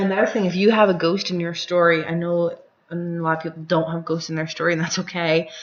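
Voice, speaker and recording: A woman talks at a very fast pace. Her fairly low-pitched voice stays monotone and flat. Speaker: gaming tutorial creator. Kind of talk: tutorial. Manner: casual, chatty.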